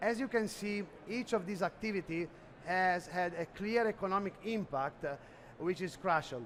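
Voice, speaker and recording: A man's high-pitched voice with an Italian accent. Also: ordinary pitch variation, moderate pace. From Italy. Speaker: sales executive presenting at a trade expo. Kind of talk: conference presentation. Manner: halting, many fillers.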